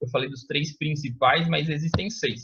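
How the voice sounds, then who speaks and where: This is a man speaking. His pitch is fairly high. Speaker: teacher. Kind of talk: lecture. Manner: fast; casual, informal.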